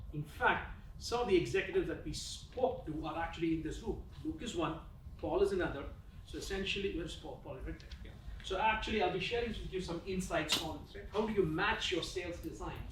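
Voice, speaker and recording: A man talks very fast with big swings in loudness, over noticeable background noise and audible room echo. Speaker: business school professor. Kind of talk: conference presentation. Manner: conversational, filler-heavy.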